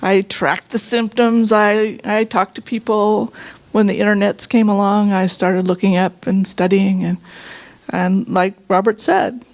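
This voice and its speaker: In a normal speaking voice, a woman delivers her words at a moderate pace. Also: medium pitch for a woman, fairly even intonation, very even loudness. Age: 60s. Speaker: workshop participant sharing healing story. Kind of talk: testimony.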